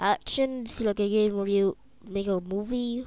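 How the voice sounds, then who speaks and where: Speaking at a very slow pace, a woman has a dark, mellow tone, a medium pitch and fairly even intonation. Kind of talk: casual gaming commentary. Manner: hesitant, casual.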